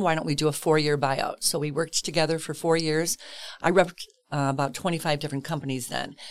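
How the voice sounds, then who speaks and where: Speaking very fast with an American accent, a woman uses a very deep, low pitch and fairly even intonation. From Chicago, southwest side. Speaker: realtor. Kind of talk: casual interview.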